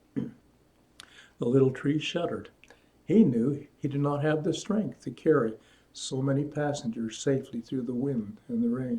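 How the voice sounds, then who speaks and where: The somewhat breathy voice has a dark, mellow tone and ordinary pitch variation, moving at a moderate pace with long, frequent pauses. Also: man, fairly high pitch for a man. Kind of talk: children's story reading.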